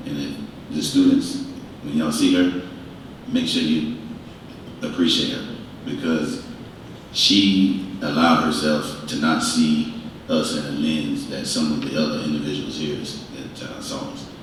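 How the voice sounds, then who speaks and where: A man speaks with long, frequent pauses and big swings in loudness. The room echo is audible, and there is noticeable background noise. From US South. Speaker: panelist, university alumnus. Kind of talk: panel discussion.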